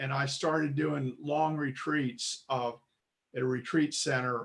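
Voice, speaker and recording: A somewhat breathy man with an American accent and monotone, flat intonation. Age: 70s. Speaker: congregation member. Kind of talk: testimony. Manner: halting.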